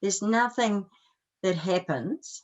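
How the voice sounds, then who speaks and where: The speaker is a woman with a New Zealand accent. She talks at a fairly slow pace. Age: 70s. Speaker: life coach and energy healer. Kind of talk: interview.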